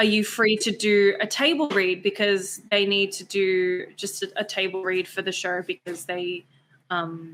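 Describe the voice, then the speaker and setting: With an Australian accent, a woman talks. Her pace is fairly slow. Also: medium pitch for a woman. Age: 20s. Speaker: actress and beauty queen. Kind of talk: casual chat.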